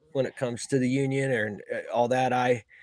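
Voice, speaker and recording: A man talks in a normal speaking voice. His pitch is medium and his pace moderate. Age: 40s. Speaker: HVAC service technician. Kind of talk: casual chat.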